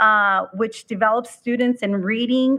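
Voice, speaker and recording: Speaking with a Spanish accent, a woman uses a fairly high pitch, a fairly slow pace and fairly even intonation. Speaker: school board member. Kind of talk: board meeting report. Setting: public board meeting. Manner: halting, many fillers.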